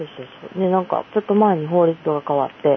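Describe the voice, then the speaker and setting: The speaker has a Kansai accent and a fairly quick pace. Noticeable background noise runs underneath. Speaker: podcast guest. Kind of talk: casual chat.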